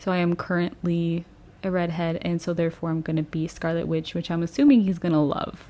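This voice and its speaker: A woman's fairly low voice at a fairly quick pace with fairly even intonation. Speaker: podcast co-host. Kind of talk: casual chat. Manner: loud.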